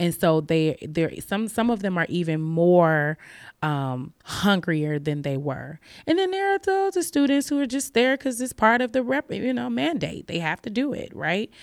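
Speaking at a moderate pace with an American accent, the voice swings very widely in pitch over a very clean recording with a silent background. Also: woman, fairly low pitch for a woman. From Chicago, west side. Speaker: literature professor. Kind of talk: casual chat.

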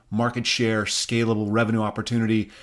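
Someone with an American accent speaks at a moderate pace in an ordinary speaking voice, on a very clean recording with a silent background. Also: man. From US Midwest, Rapid City, South Dakota. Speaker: podcast co-host. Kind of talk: interview.

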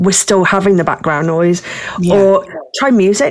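Noticeable background noise beneath a woman's medium-pitched voice with fairly even intonation. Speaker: swing club staff. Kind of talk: casual chat.

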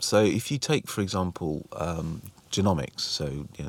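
In a very clean recording with a silent background, a man speaks with a Welsh accent in a very deep, low voice and ordinary pitch variation. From Wales. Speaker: museum chief executive, former health executive. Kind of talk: interview conversation. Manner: hesitant, filler words.

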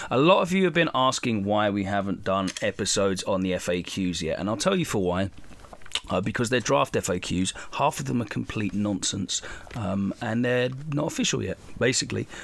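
Noticeable background noise sits behind a man at a moderate pace. His pitch is fairly low and his intonation lively. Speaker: podcast host. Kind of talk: casual podcast intro.

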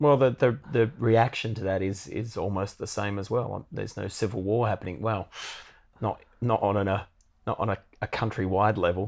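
A man speaks with an Australian accent at a fairly low pitch. His pitch varies in an ordinary way, and his pace is moderate. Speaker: podcast co-host, musician. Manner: dry, punning humour.

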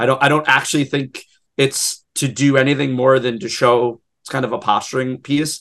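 In an ordinary speaking voice, a man at medium pitch keeps a moderate pace and fairly even intonation, though his volume rises and falls sharply. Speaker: podcast host. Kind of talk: casual chat.

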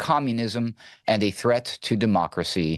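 With lively intonation, an unremarkable speaking voice comes through over a quiet background. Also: man. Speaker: news producer and segment co-host. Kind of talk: radio news banter, comedic news segment. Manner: playful, cheeky, bantering.

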